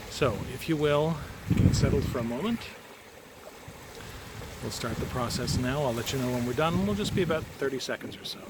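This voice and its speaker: With noticeable background noise, a man of medium pitch talks at a fairly quick pace with ordinary pitch variation and long, frequent pauses. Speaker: energy healer. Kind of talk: guided energy healing talk to camera. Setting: outdoors. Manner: casual, warm.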